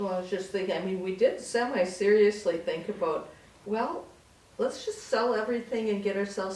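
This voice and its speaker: A woman speaks at a fairly quick pace in a medium pitch with ordinary pitch variation. Audible room echo surrounds her voice. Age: 60s. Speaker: senior co-op resident. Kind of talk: casual interview.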